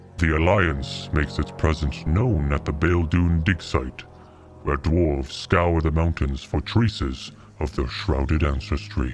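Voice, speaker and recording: Over clear background music, a man uses a put-on character voice with very deep, low pitch at a moderate pace. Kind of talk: video game lore narration.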